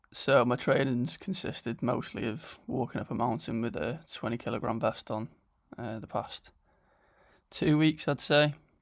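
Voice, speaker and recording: A man with a North Welsh accent at a medium pitch, with ordinary pitch variation and a moderate pace, in a very clean recording with a silent background. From Wales. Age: 20s. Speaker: vlogger and online fitness coach. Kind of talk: casual vlog narration.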